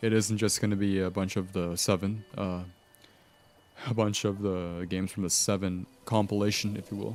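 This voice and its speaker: A man talks at a moderate pace in a fairly low voice with monotone, flat intonation. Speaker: gaming streamer. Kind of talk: live gameplay commentary. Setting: live stream. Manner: halting, repeats words.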